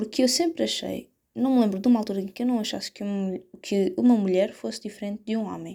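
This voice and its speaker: This woman talks at a fairly quick pace, her medium-pitched voice dark and mellow in tone with ordinary pitch variation. The recording is very clean, with a silent background. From Portugal, Setúbal. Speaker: podcaster. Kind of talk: casual solo podcast monologue. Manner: hesitant, many fillers.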